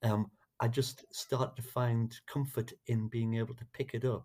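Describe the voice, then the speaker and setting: A man's tone is dark and mellow, somewhat breathy. He moves at a moderate pace with monotone, flat intonation. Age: 60s. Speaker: musician. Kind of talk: podcast interview. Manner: halting, with many restarts.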